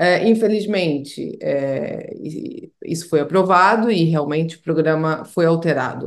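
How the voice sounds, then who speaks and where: Fairly slow speech from a woman with a fairly low pitch and ordinary pitch variation. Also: quiet background. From Portugal, moved from Brazil at six. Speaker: immigration lawyer. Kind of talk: interview. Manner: halting, many repeated words. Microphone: video call.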